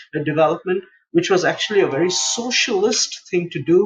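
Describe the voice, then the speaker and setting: Speaking at a moderate pace, a man has a high pitch. He talks with an Indian accent. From India, Mumbai. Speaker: international relations policy expert. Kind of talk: interview.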